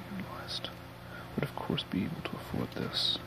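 A man's soft-spoken whisper at a very fast pace, with noticeable background noise. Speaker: audiobook reader. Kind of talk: reading a novel aloud. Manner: soft ASMR whisper reading. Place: home room. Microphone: earbuds.

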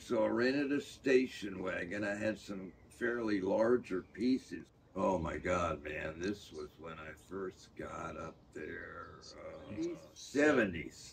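A man with an American accent speaks at a very slow pace with hardly any pauses, his pitch fairly low. His intonation is lively, his loudness swings widely, and light background noise is present. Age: 80s+. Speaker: painter and art professor; navy veteran. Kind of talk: interview answer. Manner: casual, halting with fillers. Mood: animated storytelling, acts out quotes.

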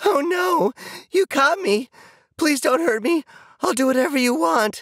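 Putting on a character voice at an extremely high pitch, a man speaks at a moderate pace. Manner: mocking, terrified-sounding.

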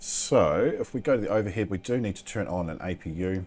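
A man's fairly low voice with lively intonation and a slight New Zealand accent. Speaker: flight simulator YouTuber narrating gameplay. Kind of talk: gameplay commentary. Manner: casual, chatty commentary. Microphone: headset.

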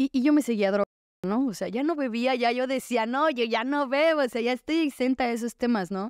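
A speaker with a Mexican accent talks at a fairly quick pace with ordinary pitch variation. The sound is dry with no echo, over a quiet background. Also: woman, high pitch for a woman. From Mexico. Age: 20s. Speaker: recovering addict sharing her story; podcast guest. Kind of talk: testimony. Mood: candid, reflective, at times smiling. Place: studio. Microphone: studio mic.

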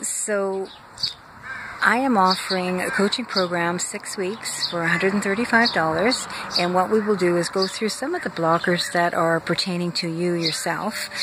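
Over noticeable background noise, a woman speaks very slowly in a dry recording with no echo. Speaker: wellness coach. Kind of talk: casual vlog chat promoting a coaching program. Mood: warm, friendly. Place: garden. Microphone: phone near.

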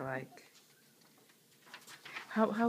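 A woman's speech moves with lively intonation, with light noise in the background. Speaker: interviewer. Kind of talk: interview questions. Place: home room. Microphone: phone near.

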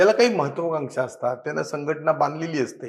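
Ordinary pitch variation marks this man's fairly high, normal speaking voice. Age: 50s. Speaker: politician. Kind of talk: interview.

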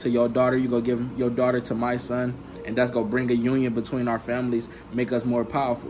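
Music plays in the background as a man talks at a very fast pace. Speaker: bible teacher. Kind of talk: casual scripture teaching. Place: home room. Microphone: phone near.

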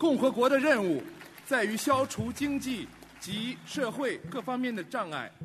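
A man's extremely high voice with lively intonation at a very slow pace, with music in the background. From China. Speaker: actor. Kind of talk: public reading of constitution article in Chinese. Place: hall. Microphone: podium.

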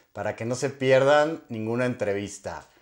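In a quiet background, a man speaks at a fairly slow pace. His intonation is lively. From Mexico. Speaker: YouTube interviewer. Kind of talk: interview. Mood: friendly, upbeat. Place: home room. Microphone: lapel.

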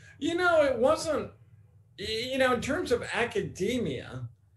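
A man with an American accent speaks at a fairly slow pace in an extremely high pitch. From Oregon, US. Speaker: New Testament professor. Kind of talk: interview. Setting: video call. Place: home room. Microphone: webcam.

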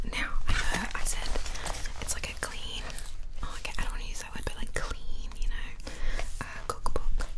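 A woman speaks at a moderate pace, leaving long, frequent pauses. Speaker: ASMR creator. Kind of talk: ASMR cookbook review. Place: home room. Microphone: studio mic.

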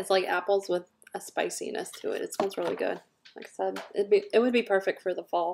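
Light background noise sits under a woman speaking at a fairly quick pace. Her loudness swings a lot. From US South. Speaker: scent product consultant and video host; scent product seller. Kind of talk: product review; casual product review chat. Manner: casual, filler-heavy. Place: home room. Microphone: webcam.

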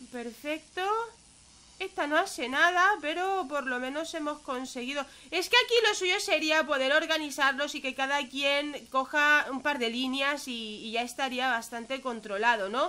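A woman uses a raised, projected voice at a high pitch and a fairly slow pace. Her tone is bright, sharp and animated, with lively intonation. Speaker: gaming youtuber. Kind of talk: gameplay commentary.

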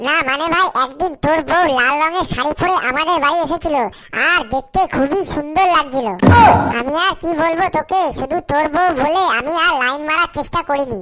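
A cartoonish character voice with a high pitch moves at a moderate pace over loud background noise. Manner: wheedling, preachy.

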